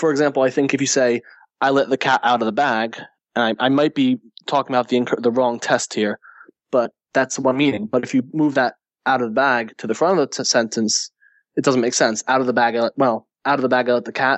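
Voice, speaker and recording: In a plain, everyday voice, a man with an American accent talks at a fairly quick pace with medium pitch and fairly even intonation. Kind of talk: casual podcast discussion. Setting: remote call.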